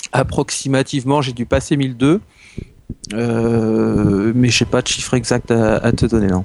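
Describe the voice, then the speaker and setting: At a fairly slow pace, a man uses a normal speaking voice at medium pitch with ordinary pitch variation. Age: 30s. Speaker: doctor and manga fan. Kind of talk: casual chat.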